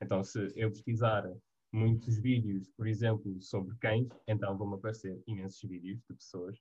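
A man with a European Portuguese accent speaks at a moderate pace in a somewhat breathy voice. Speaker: university student. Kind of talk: casual chat.

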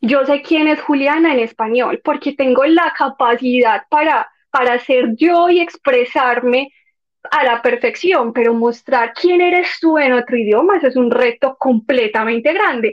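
A woman with a Medellín accent speaks at a fairly slow pace in a high voice, her pitch rising and falling in an ordinary way and her loudness staying very even. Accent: paisa (Medellín). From Medellín, Colombia. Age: 20s. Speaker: former au pair. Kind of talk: interview.

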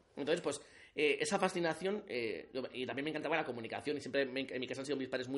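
This man races along at a very fast pace, his fairly high pitch showing ordinary variation. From Navarre, Spain (Alsasua). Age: 30s. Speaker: journalist and community manager. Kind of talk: casual chat. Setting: reading room of a palace, late night.

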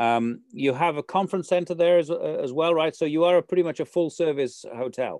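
A man with a normal speaking voice and a fairly high pitch talks at a fairly quick pace, with hardly any pauses and ordinary pitch variation. The sound is dry and close with no echo, over a quiet background. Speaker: radio host. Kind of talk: radio interview.

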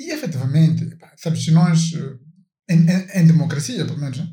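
Fairly quick speech in a dark, mellow tone, somewhat breathy, carries audible room echo. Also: man. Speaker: podcast co-host. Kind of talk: casual chat.

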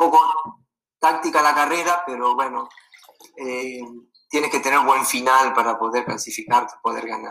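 At a moderate pace, a man with medium pitch speaks with fairly even intonation. He leaves long, frequent pauses. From Venezuela. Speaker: former college distance runner. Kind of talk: casual interview.

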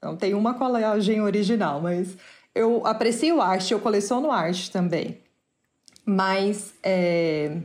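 Audible room echo surrounds a woman's medium-pitched voice. She talks at a very slow pace with ordinary pitch variation. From Brazil. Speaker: artist. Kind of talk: interview.

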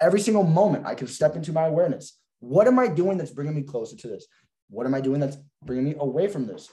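Very fast and lively in intonation, a man with a fairly high pitch speaks in a dark, mellow, somewhat breathy tone. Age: young. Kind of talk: casual chat. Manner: animated.

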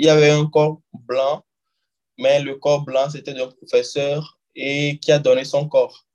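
A man speaks in an unremarkable speaking voice. It sits at a fairly high pitch with fairly even intonation. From Togo, Lomé. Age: 20s. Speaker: doctor. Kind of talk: interview conversation.

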